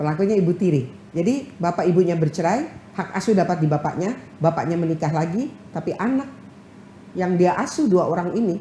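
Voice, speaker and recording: A woman talks at a fairly quick pace in a fairly low pitch. Her intonation is lively. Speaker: head of a women's legal aid organization. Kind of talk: TV talk show interview. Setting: TV studio. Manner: loud.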